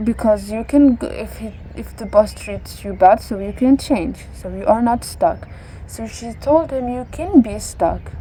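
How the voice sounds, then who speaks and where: A woman speaks at a fairly slow pace. Noticeable background noise can be heard. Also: big swings in loudness. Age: 20s. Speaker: vlogger. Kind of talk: casual monologue to camera. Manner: halting, searching for words.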